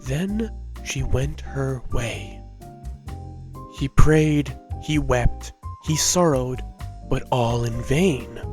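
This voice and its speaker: Long, frequent pauses break up a man's very slow speech, with music in the background. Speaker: voice actor. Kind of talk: fairy tale read-aloud.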